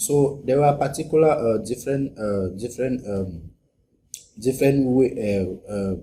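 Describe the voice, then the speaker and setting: At a moderate pace, a man with a Cameroonian accent speaks in a somewhat breathy, dark, mellow voice at medium pitch. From Cameroon, northwest region (Anglophone). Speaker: graduate student. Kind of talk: interview. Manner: halting.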